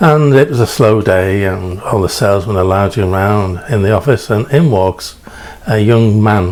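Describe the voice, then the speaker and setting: A man speaks at a fairly low pitch with a slight English accent. There is noticeable background noise. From England. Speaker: preacher. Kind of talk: storytelling sermon. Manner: halting, many fillers.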